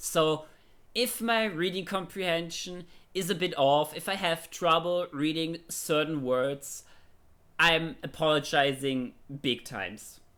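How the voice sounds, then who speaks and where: A speaker with a German accent talks at a fairly slow pace in a bright, sharp tone with ordinary pitch variation, on a very clean recording with a silent background. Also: man, fairly high pitch for a man. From Germany. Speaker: streamer. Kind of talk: casual chat; reading aloud. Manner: halting.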